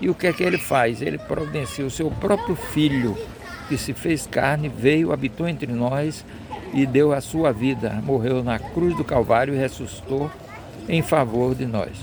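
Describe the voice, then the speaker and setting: Against noticeable background noise, a man with fairly high pitch speaks at a fairly slow pace with ordinary pitch variation. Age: 70s. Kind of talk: devotional talk.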